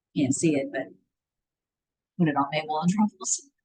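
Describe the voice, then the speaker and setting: The voice is loud, with very wide pitch swings. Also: woman. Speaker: wellness class teacher. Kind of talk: online class.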